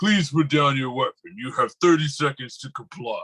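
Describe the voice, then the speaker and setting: Using a put-on character voice, a man speaks at a moderate pace in a fairly high pitch. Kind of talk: formal, commanding. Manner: flat, authoritative, mechanical.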